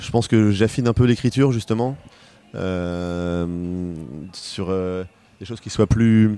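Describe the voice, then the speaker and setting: A man speaks very slowly with long, frequent pauses and big swings in loudness. His voice is fairly low, dark and mellow, with ordinary pitch variation. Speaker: pop singer-songwriter. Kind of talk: interview.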